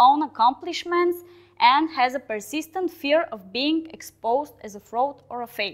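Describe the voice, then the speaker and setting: With a Balkan accent, a woman talks at a fairly slow pace and uses lively intonation. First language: Balkan language, not English. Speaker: software team lead giving a talk. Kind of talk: conference talk. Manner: hesitant, with fillers.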